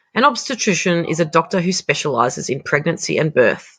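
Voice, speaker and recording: The background is quiet. An Australian accent comes through in the speech. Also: woman. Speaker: English teacher. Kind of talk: educational vocabulary lesson.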